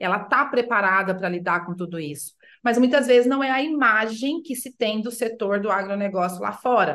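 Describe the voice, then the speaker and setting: A woman talks at a moderate pace with hardly any pauses, her pitch fairly high and her intonation lively. It is a normal speaking voice. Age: 40s. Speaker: sustainability consultant. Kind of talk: interview.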